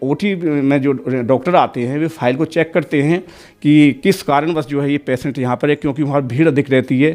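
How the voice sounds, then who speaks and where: Over a quiet background, a man with a fairly high pitch talks in an ordinary speaking voice. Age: 60s. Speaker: devotee giving testimony. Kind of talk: testimony interview.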